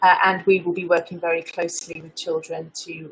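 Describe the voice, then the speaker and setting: This is a woman's voice, fairly low in pitch. It sounds somewhat breathy. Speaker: local food campaign worker. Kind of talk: webinar presentation.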